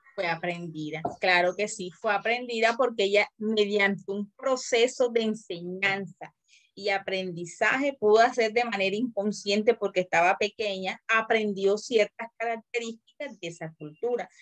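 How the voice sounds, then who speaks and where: A woman with an unremarkable speaking voice talks at a fairly slow pace with hardly any pauses, at medium pitch with ordinary pitch variation, in a dry, close sound with no echo. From Colombian Caribbean coast. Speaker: teacher. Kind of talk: lecture.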